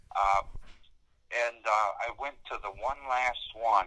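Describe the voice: A man talks at a medium pitch with ordinary pitch variation and a bright, sharp tone. The sound is dry and close, with no echo.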